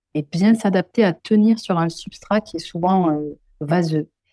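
With a southwestern French accent, the speaker talks at a fairly slow pace in a dark, mellow tone with ordinary pitch variation. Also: woman. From southwest France, Pyrenees. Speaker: ecologist. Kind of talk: interview.

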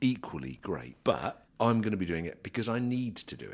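In a very clean recording with a silent background, a man's voice shows vocal fry and very wide pitch swings. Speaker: grain trader and podcast host. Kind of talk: market report and casual chat. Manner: fast.

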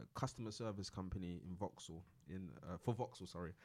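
Ordinary pitch variation in a London accent. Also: man. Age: 20s. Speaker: entrepreneur. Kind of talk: casual interview.

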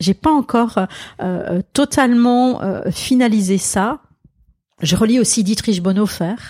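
Speaking at a very slow pace with long, frequent pauses, a woman uses a fairly high pitch and a somewhat breathy, dark, mellow tone, heard as a dry, close sound with no echo. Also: ordinary pitch variation, very even loudness. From Alsace, France. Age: 60s. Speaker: pastor and author. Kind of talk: interview conversation.

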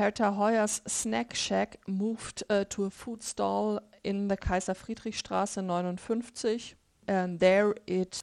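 A woman with a German accent, fairly even intonation and a fairly slow pace, in a very clean recording with a silent background. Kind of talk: casual chat.

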